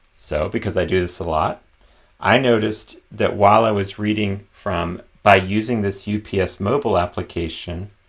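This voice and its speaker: Against a silent background in a very clean recording, a man with a plain, everyday voice speaks at a moderate pace, his fairly low pitch held in fairly even intonation. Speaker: accessibility consultant. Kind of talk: conference talk with demo.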